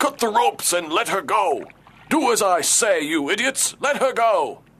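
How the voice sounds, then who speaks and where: A put-on character voice at a moderate pace. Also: man, high pitch for a man. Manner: commanding, scolding.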